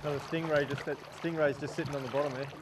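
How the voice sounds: Very fast speech from a man with a fairly high pitch and fairly even intonation, against clear background noise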